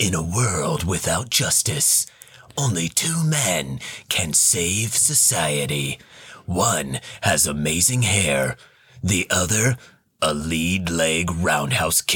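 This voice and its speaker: A raspy, put-on character voice from a man, very deep and low in pitch, with lively intonation, very even loudness and a very slow pace. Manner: dramatic, announcing.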